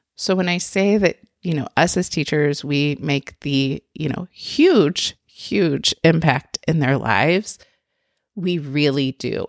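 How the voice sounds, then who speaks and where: Through a dry, close sound with no echo, a woman speaks very slowly with a very deep, low pitch and ordinary pitch variation. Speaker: preschool teacher and podcast host. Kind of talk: solo podcast monologue. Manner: conversational, frequent fillers.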